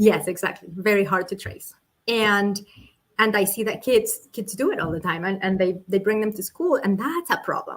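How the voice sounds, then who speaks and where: Spoken at a fairly quick pace in a Colombian accent, the voice has ordinary pitch variation and long, frequent pauses. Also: woman, medium pitch for a woman. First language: Spanish. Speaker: political candidate. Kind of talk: interview. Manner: halting, with many repetitions.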